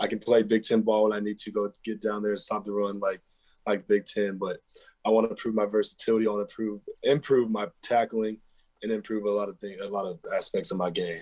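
A man's fairly low voice in an American accent, monotone and flat, at a fairly quick pace with big swings in loudness. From Texas. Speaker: college football safety. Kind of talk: interview.

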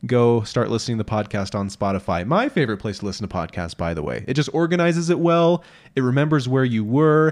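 Someone with a US Midwestern accent talks at a very fast pace with very wide pitch swings. The background is quiet. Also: man, medium pitch for a man. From southeast Iowa, US Midwest. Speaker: podcast co-host. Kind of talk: casual chat. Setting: studio.

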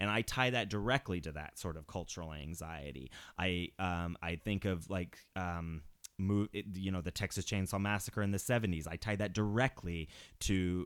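On a very clean recording with a silent background, a man with a very deep, low pitch speaks at a moderate pace with ordinary pitch variation. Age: 30s. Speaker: horror film podcast host. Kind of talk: casual chat.

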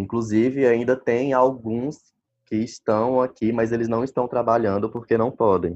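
Speaking at a fairly slow pace, a man uses a normal speaking voice at a medium pitch. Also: fairly even intonation. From Brazil, Maranhão. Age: 20s. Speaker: doctor. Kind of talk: interview. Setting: phone call.

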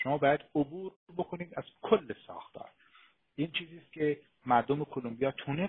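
This man's intonation is lively as he talks at a moderate pace. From Iran. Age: 40s. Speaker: author and historian. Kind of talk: political discussion. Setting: online live stream. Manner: animated.

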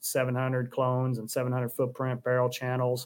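A man talks in a Southern US accent. His pitch is medium and his pace is moderate. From US South. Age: 50s. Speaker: gun stock company co-owner. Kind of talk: casual interview chat.

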